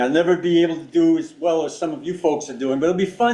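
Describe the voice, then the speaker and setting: Over noticeable background noise, a man talks at a fairly quick pace in a high voice. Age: 70s. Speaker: astronomy club presenter, visual observer. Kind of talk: club meeting presentation.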